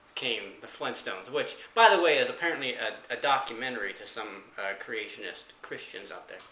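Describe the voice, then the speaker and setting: There is audible room echo as the man speaks. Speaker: vlogger. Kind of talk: casual vlog monologue. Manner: slow; halting, many fillers.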